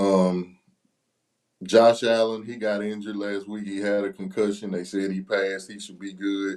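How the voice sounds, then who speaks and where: The man talks at a moderate pace in a fairly low pitch. His intonation is monotone and flat. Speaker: sports betting podcast co-host. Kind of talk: casual sports chat.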